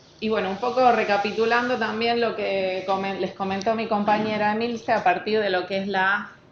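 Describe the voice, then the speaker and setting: Using a plain, everyday voice, a woman speaks at medium pitch and a moderate pace. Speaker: government environmental technician. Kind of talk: technical talk.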